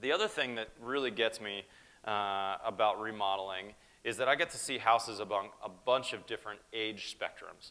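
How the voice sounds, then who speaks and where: A man with an American accent talks at a moderate pace, his fairly low pitch showing ordinary variation. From US Northeast. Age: 40s. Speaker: building contractor. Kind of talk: keynote speech. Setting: stage with audience. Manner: casual. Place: hall.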